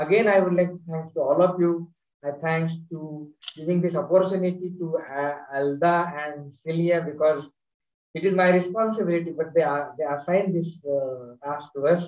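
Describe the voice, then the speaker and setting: A high-pitched male voice with an Indian accent, fairly even in intonation and moderate in pace, with audible room echo over a quiet background. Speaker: university teacher educator; host, moderator from partner university. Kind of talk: audience question and closing thanks. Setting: video call. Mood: warm, smiling. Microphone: video call.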